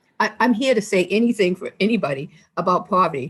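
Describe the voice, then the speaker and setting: Somewhat breathy talking at a very fast pace, its pitch variation ordinary. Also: woman. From Maine. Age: 60s. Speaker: member of the public testifying. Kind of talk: testimony.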